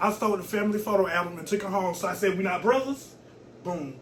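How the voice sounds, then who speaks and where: A man's high-pitched, animated voice at a very fast pace, with audible room echo and noticeable background noise. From US South, Georgia (Thomson/Augusta area). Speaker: social media personality. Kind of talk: casual interview chat.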